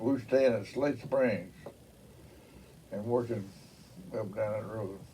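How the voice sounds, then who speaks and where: The voice carries a Mississippi accent. Its tone is dark and mellow, at a fairly slow pace. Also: man. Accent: Southern US, Mississippi. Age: 80s+. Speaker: engineer. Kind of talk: oral history interview answer. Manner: colorful storyteller, salty.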